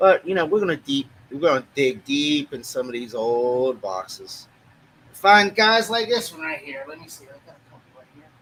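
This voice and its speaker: Taking a moderate pace, a man speaks at a fairly high pitch that swings very widely. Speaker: podcast host. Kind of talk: casual chat. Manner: casual, hesitant with fillers.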